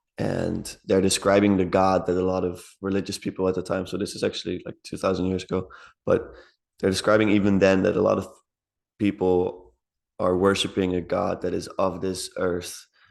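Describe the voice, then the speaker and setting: Against a quiet background, a man speaks in a very deep, low voice at a moderate pace. His intonation is monotone and flat. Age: 20s. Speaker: philosophy channel creator. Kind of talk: casual chat.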